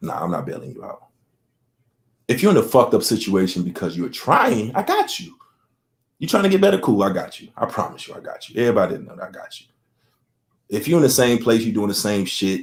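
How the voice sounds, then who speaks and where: A man's animated tone at a very fast pace, broken by long, frequent pauses, with big swings in loudness. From Chicago South Side. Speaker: podcast host. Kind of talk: casual chat.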